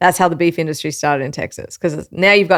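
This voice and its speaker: In a very clean recording with a silent background, a woman with an Australian accent talks at a very fast pace in a fairly low pitch. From Australia, Melbourne. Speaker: live fire cook and meat expert. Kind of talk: casual interview chat.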